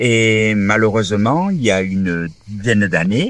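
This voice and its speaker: Dry and close with no echo, a man speaks at a fairly low pitch. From southern France, Toulon area. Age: 60s. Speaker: former rugby player, wheelchair user. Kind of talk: interview testimony. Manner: hesitant, many fillers.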